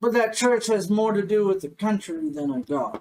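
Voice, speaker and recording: Using a put-on character voice, a man sounds gravelly and high-pitched at a moderate pace. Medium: actual play. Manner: blunt, folksy.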